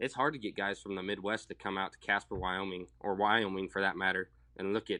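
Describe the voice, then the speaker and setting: A man's fairly low, bright, sharp voice with an American accent, fairly quick and monotone, flat in intonation, over a quiet background. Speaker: young farmer and livestock producer. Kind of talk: casual chat. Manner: laid-back, friendly.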